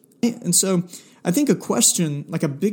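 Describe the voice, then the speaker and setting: At a moderate pace, a man with a high pitch speaks in a Southern US accent. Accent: Southern US (Georgia). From US South, South Georgia. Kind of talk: solo faith podcast monologue. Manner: casual, with many filler words.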